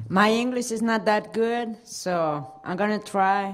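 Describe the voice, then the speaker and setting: At a very slow pace, a woman speaks with a Mexican accent. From Mexico, Jalisco. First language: Spanish. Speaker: award recipient, business owner. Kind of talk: acceptance speech. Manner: halting.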